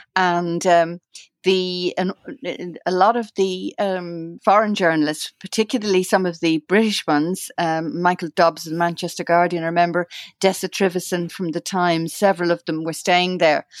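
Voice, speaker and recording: A woman with an Irish accent speaks at a fairly low pitch and a moderate pace, with fairly even intonation. The recording is very clean with a silent background and a dry, close sound with no echo. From Ireland. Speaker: journalist and researcher. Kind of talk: interview reminiscence. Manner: halting, many fillers and repeats.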